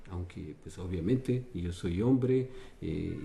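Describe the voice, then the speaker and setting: A man speaks with a very deep, low pitch and a dark, mellow, somewhat breathy tone, his intonation lively. His pace is very slow, with audible room echo. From Ecuador (Quito). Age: 60s. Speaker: dancer. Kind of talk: interview. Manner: halting.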